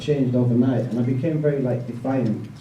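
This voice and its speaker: With a Yorkshire accent, a man talks at a fairly quick pace and medium pitch, with audible room echo. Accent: northern English (Yorkshire). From northern England, West Yorkshire (Bradford). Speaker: evangelist. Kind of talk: testimony. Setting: event with audience, handheld mic. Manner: casual, many fillers (like, um).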